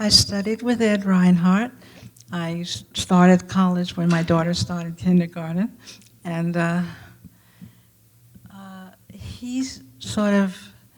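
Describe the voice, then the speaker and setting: Speaking very slowly in an American accent, the voice is somewhat breathy, with ordinary pitch variation, big swings in loudness, and long, frequent pauses. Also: woman, fairly low pitch for a woman. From New York, Brooklyn. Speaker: artist. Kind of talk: panel discussion.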